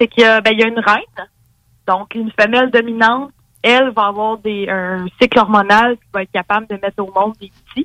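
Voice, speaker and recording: With a Quebec accent, a woman speaks at a moderate pace in a fairly high, flat, monotone voice with a bright, sharp tone, big swings in loudness and a dry, close sound with no echo. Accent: Québécois French. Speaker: biology columnist. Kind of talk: informal explainer; casual chat.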